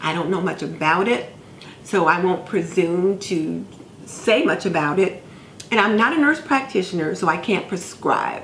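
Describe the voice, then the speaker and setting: Noticeable background noise surrounds a woman's voice. She speaks at a moderate pace with lively intonation. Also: medium pitch for a woman. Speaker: nurse, homemaker vlogger. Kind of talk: casual talk to camera.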